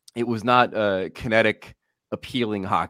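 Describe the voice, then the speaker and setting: Heard in a dry, close sound with no echo, a man with an American accent speaks at a fairly low pitch in a bright, sharp tone. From Central New Jersey, Monmouth County. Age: 40s. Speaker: hockey analyst. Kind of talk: casual chat.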